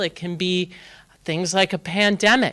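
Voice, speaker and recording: A woman is speaking. Her voice is loud. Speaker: tech industry executive giving a keynote. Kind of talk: conference keynote. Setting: stage with live and online audience. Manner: animated.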